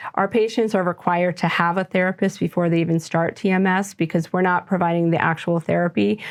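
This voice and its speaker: Very fast and with hardly any pauses, a woman talks at a fairly low pitch with fairly even intonation and very even loudness. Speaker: physician running a TMS mental health clinic. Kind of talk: interview.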